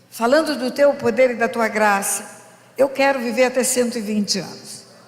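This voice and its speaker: Audible room echo and noticeable background noise accompany a woman with a high pitch. She speaks at a fairly slow pace with lively intonation. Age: 70s. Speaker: pastor. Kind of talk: sermon.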